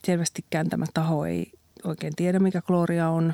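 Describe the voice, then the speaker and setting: A woman speaks at a fairly slow pace. The recording is very clean, dry and close, with a silent background and no echo. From Finland, Central Ostrobothnia. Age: 50s. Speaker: magazine editor-in-chief. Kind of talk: casual interview.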